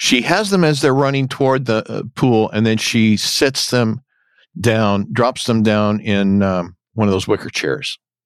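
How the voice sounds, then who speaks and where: A man's unremarkable speaking voice at medium pitch, with ordinary pitch variation and a fairly slow pace, in a very clean recording with a silent background. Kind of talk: casual podcast discussion of a TV episode.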